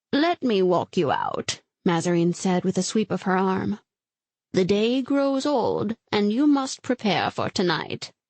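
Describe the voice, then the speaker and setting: A put-on character voice moves at a fairly slow pace through very wide pitch swings while holding a very even loudness. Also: woman, medium pitch for a woman. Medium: read story. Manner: stately, measured.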